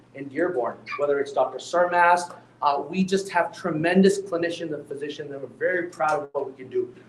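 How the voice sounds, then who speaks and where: A man's loud voice sits at a high pitch, varying in pitch in an ordinary way. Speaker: healthcare company executive. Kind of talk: ceremony speech. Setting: live event with audience, no microphone. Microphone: speaking without a mic.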